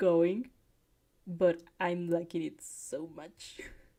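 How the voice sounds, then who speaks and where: A woman speaks very slowly with a non-native accent. Her medium-pitched voice has a dark, mellow tone. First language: not English. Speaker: fanfic reaction reader. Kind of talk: casual chat; reading aloud with reactions. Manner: halting; animated. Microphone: new microphone.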